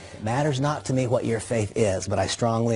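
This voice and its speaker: A man with a fairly low pitch at a fairly quick pace, with music in the background. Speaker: network marketing speaker. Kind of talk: motivational talk. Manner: fast.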